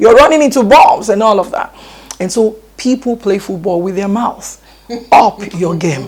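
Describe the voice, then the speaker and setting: A woman with a Nigerian accent speaks at a moderate pace with lively intonation. Noticeable background noise surrounds her. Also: medium pitch for a woman. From Nigeria (Yoruba). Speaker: education expert. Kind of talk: TV interview.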